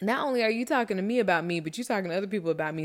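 An animated woman with an American accent on a very clean recording with a silent background. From Miami, Florida. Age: 30s. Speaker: life coach podcast host. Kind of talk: casual monologue.

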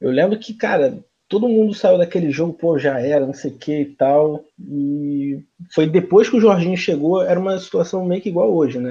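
Against a quiet background, a high-pitched man speaks at a moderate pace with lively intonation and big swings in loudness. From Rio de Janeiro, Brazil (Jacarepaguá). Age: 20s. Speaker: football fan, channel supporter. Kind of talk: casual chat.

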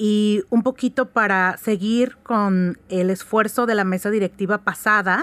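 Recorded very cleanly with a silent background and a dry, close sound with no echo, a woman speaks at a very slow pace in a medium pitch with fairly even intonation. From Oaxaca, Mexico. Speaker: lawyer and writers' group board member. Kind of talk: radio interview.

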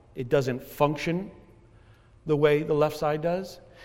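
A man speaks at a fairly high pitch with ordinary pitch variation. The room has an audible echo. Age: 50s. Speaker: pastor. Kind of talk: sermon. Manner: halting, with many fillers and repetitions.

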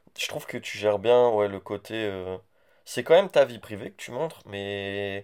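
With a plain, everyday voice, a man speaks at a fairly slow pace in a fairly low pitch, showing ordinary pitch variation and big swings in loudness on a very clean recording with a silent background. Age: 20s. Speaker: podcast host's boyfriend, student. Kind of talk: casual chat.

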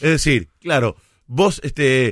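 A man with a Rioplatense accent, fairly high pitch and very wide pitch swings, in a very clean recording with a silent background and a dry, close sound with no echo. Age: 40s. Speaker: radio host and sports commentator. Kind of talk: casual chat.

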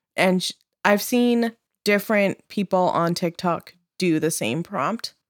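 Recorded very cleanly with a silent background and a dry, close sound with no echo, a woman speaks fairly slowly in a plain, everyday voice with ordinary pitch variation. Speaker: podcast host. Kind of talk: casual chat.

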